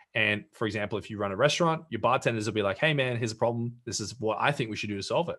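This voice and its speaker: Against a quiet background, a man with an Australian accent speaks at a medium pitch with ordinary pitch variation. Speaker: brand strategist and entrepreneur. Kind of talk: interview. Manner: halting, many fillers and repeated words.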